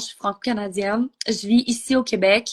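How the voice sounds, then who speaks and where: With a Quebec accent, a woman talks at a fairly slow pace in a fairly high pitch over a quiet background. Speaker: entrepreneur. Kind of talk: interview. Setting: Instagram live.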